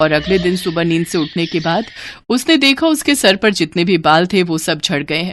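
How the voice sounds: On a very clean recording with a silent background, a woman speaks at a moderate pace in a fairly low pitch, with a fairly bright tone and lively intonation.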